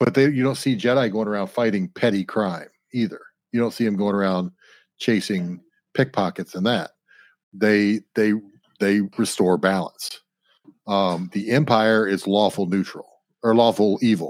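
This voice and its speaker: Fairly low-pitched man at a moderate pace, with fairly even intonation and long, frequent pauses. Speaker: podcast co-host. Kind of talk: casual chat. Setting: remote recording.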